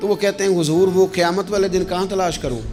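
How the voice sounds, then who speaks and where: Music plays in the background as a man speaks. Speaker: Islamic preacher giving a sermon. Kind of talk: religious sermon (bayan). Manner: emotional, preaching, speaking with feeling.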